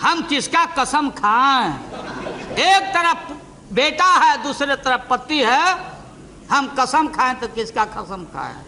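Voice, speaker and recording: A man speaks in a raised, projected voice. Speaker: politician giving a parliamentary speech. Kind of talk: parliamentary speech, witty and humorous. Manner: witty, teasing, jocular.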